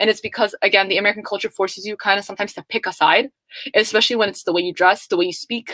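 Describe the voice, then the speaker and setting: A woman at a very fast pace, in a dry, close sound with no echo. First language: Somali. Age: young. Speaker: student panelist. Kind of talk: panel discussion.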